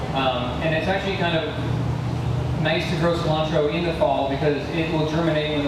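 The speech moves fairly quickly through audible room echo and loud background noise. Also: man. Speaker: presenter. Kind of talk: lecture. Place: garden. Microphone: handheld.

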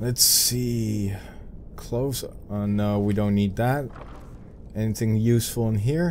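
Speaking fairly slowly with long, frequent pauses, a man in a Dutch accent uses a fairly low pitch and fairly even intonation over noticeable background noise. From Netherlands. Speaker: gaming video creator. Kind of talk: let's play gameplay commentary. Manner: casual and chatty.

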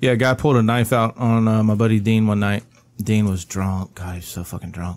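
With fairly even intonation and a fairly low pitch, a man talks at a moderate pace in a plain, everyday voice. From US South. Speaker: podcast co-host and producer. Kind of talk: casual chat.

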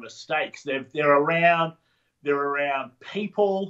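Speaking with an Australian accent, a man has a fairly high pitch. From Sydney, Australia. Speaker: entrepreneur, referral marketing trainer. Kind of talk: podcast interview answer.

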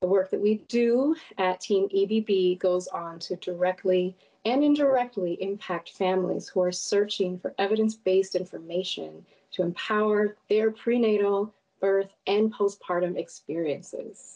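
A woman's dark, mellow voice with an American accent, at a fairly slow pace. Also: ordinary pitch variation, quiet background. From Minnesota. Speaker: research associate, guest host; guest host. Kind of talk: interview host; scripted introduction. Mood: warm, earnest, reflective. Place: home room.

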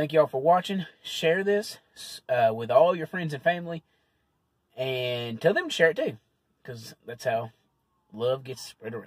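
A man speaks at a moderate pace with long, frequent pauses and big swings in loudness. The sound is dry with no echo, and the background is quiet. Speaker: food reviewer vlogger. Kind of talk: casual vlog chat. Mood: relaxed, friendly. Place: car. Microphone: phone near.

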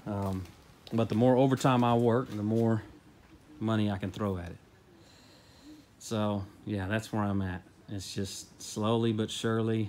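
A man talks in a fairly low, monotone, flat voice. He leaves long, frequent pauses. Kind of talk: casual vlog chat. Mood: relaxed, matter-of-fact. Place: garage. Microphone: phone near.

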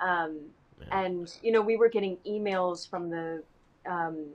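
A woman with an American accent and a plain, everyday voice, fairly low in pitch, fairly slow in pace and fairly even in intonation. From US South, Huntington, West Virginia; West Virginia. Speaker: actor. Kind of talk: casual chat. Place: home room. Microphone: video call.

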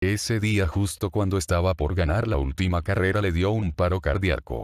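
A man with a very deep, low pitch speaks with vocal fry at a fairly slow pace. His loudness stays very even. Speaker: creepypasta narrator. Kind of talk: scripted ghost story narration.

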